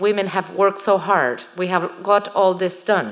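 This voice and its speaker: A woman with a Spanish accent speaks at a medium pitch. Her pace is fairly slow and her intonation fairly even. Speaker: writer. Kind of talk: Q&A after a lecture.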